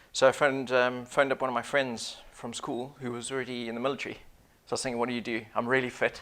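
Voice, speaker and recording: A man at a very fast pace, flat and monotone throughout. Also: medium pitch for a man. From Zimbabwe. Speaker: business consultant, former Royal Marine commando. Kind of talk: interview. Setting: studio.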